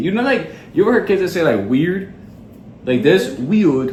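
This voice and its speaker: A man with a high pitch speaks in an animated tone, with very wide pitch swings. Audible room echo is present. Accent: New York. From New York City, Queens. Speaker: podcast co-host. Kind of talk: casual chat.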